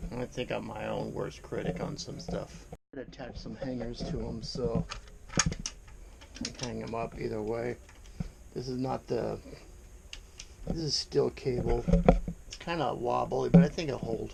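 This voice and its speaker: A man with long, frequent pauses amid noticeable background noise. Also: fairly slow pace. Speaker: woodworking YouTuber. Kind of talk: casual tutorial. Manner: casual, hesitant with fillers.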